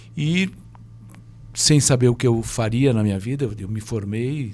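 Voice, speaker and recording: A man with a medium-pitched, somewhat breathy voice speaks in a dark, mellow tone. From Brazil. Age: 70s. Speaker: former pro tennis player, tennis coach. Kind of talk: podcast interview. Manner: halting, many repetitions.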